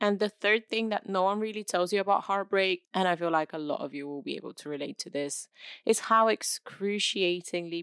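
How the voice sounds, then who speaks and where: A woman's medium-pitched voice with ordinary pitch variation, very clean and silent behind her, dry and close with no echo. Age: 20s. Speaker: podcast host and content creator. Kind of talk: solo podcast monologue.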